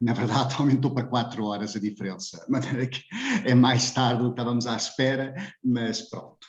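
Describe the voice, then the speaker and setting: Audible room echo colors the recording. The speaker keeps a moderate pace and fairly even intonation. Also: man, medium pitch for a man. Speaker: philosophy professor. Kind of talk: lecture. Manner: hesitant, many filler sounds.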